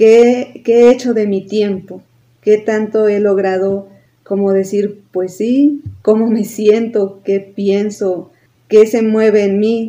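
At a very slow pace, the voice comes through in a dark, mellow tone with monotone, flat intonation. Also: woman, fairly high pitch for a woman. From Mexico, Tulancingo, Hidalgo. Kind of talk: casual chat.

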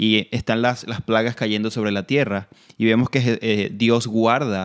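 A man with a normal speaking voice talks at a medium pitch with fairly even intonation. The sound is dry and close, with no echo. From Venezuela. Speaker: Bible teacher and ministry director. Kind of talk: Bible teaching in radio conversation. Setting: radio program.

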